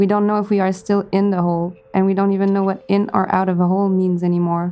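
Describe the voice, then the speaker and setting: A woman's very fast, monotone and flat delivery at medium pitch, dark and mellow in tone. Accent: French Canadian. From Quebec. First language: French. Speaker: sculptor and cabinet maker. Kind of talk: casual interview chat.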